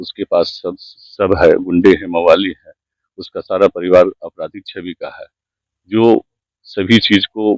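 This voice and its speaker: The recording is dry and close, without any echo. The speaker is a man. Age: 60s. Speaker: landowner complaining of land grab. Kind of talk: news interview testimony.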